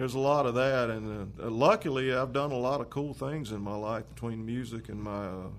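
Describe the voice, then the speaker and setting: Talking at a fairly quick pace with hardly any pauses, a man with a Carolinas accent uses a medium pitch and ordinary pitch variation, and there is audible room echo. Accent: Southern US (Carolinas). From US South, Lancaster, South Carolina. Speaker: musician and guitar maker. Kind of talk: casual chat.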